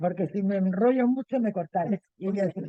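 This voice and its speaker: A woman with a dark, mellow tone and a medium pitch talks at a moderate pace with ordinary pitch variation, in a dry, close sound with no echo. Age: 80s+. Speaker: book club member. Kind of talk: casual chat.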